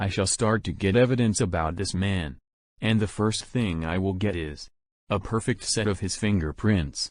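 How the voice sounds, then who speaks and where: Growling in a put-on character voice, a man speaks at a fairly low pitch and a moderate pace. His pitch varies in an ordinary way over a quiet background. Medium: voice reel. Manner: formal, deferential.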